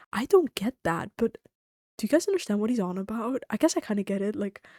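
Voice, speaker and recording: Soft-spoken, a woman with a dark, mellow tone talks at a fairly quick pace in a very clean recording with a silent background and a dry, close sound with no echo. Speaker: streamer. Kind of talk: casual chat. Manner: quiet.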